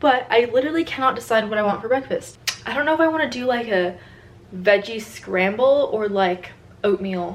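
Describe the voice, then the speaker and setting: Noticeable background noise sits behind a voice with an American accent. The delivery is fairly quick, with lively intonation. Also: woman. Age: 20s. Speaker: college cheerleader and vlogger. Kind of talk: casual vlog. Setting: at home, handheld camera. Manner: soft-spoken.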